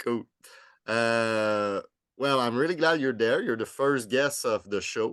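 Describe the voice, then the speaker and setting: Against a quiet background, a man with a Quebec accent speaks with ordinary pitch variation. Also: medium pitch for a man, fairly slow pace. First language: French. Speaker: podcast host. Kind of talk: podcast interview.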